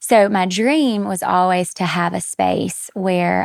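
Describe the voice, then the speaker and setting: A woman talks with a Southern US accent. The sound is dry and close, with no echo. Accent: Southern US (Georgia). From US South, South Georgia. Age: 30s. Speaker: women's health nurse practitioner. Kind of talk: podcast interview. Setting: podcast studio, in person.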